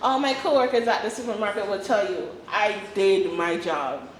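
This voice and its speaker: A woman with a fairly high pitch speaks at a moderate pace with lively intonation. Noticeable background noise and an audible room echo surround her. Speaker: voice actor and playwright. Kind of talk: talk with Q&A.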